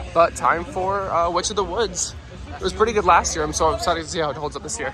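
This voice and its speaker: Music plays in the background as the speaker rushes along at a very fast pace. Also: man. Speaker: theme park vlogger. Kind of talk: casual vlog narration. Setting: outdoors at theme park. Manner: animated.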